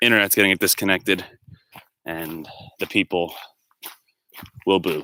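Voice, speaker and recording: A man with a very deep, low pitch and a bright, sharp tone talks loudly at a moderate pace, leaving long, frequent pauses, in a dry, close sound with no echo. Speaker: livestreamer. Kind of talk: casual chat. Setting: outdoors.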